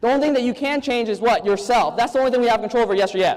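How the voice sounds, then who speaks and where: Extremely high in pitch, a man speaks in an animated tone with ordinary pitch variation. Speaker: network marketing speaker. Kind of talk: motivational seminar talk. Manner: fast.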